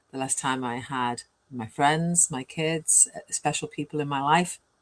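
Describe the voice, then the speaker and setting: On a very clean recording with a silent background, a woman with a Welsh accent speaks at a very deep, low pitch with fairly even intonation. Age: 60s. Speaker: online business mentor. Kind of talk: interview. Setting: live video stream.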